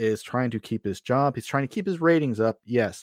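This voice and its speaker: A plain, everyday voice, a man talks at medium pitch with ordinary pitch variation, the recording very clean with a silent background and a dry, close sound with no echo. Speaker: recurring podcast guest. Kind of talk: casual chat. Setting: studio.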